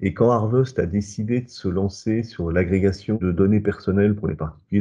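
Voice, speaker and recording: Fairly low male voice, dark and mellow, at moderate pace with fairly even intonation. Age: 60s. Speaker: company founder. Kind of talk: interview testimony.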